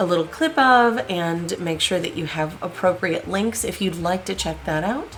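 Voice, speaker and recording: A woman's fairly low voice at a moderate pace, with ordinary pitch variation and music in the background. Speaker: history video host. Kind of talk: biography narration.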